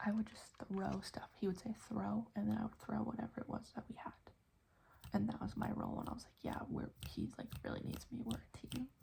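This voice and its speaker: Someone whispers. The pace is fairly quick. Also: woman. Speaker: ASMR creator. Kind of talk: ASMR trigger assortment. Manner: whispered, soft-spoken.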